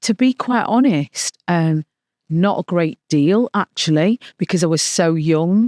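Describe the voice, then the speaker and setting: A woman with a Mancunian accent speaks at a fairly slow pace and a fairly low pitch, her tone dark and mellow. Her intonation is lively and her loudness very even, in a dry, close sound with no echo. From Manchester, England. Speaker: filmmaker and author. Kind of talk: interview.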